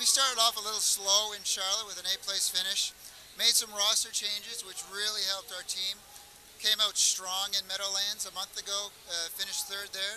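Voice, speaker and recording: In a raised, projected voice, a man speaks at a high pitch and moderate pace with monotone, flat intonation. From Canada. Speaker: pro gamer. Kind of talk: interview. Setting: event floor.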